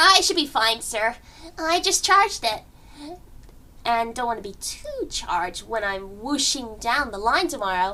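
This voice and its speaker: Here is a put-on character voice that sounds female. Its pitch is fairly high and its pace moderate. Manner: upbeat.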